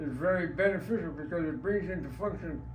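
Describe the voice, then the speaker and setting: At a moderate pace, a man says his lines. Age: 80s+. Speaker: war veteran. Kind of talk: interview answer.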